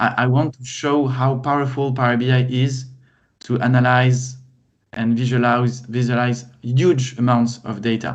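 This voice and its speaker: A French accent colors this fairly slow delivery. The intonation stays monotone and flat. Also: man, medium pitch for a man. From France. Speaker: data consultant and trainer. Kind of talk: casual chat.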